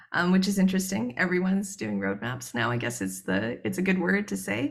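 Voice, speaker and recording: A woman with a Canadian accent talks at a fairly quick pace, her very deep, low, somewhat breathy voice making very wide pitch swings amid audible room echo. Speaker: researcher. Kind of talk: conference presentation. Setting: joining a conference online. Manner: fast; hesitant, many filler words.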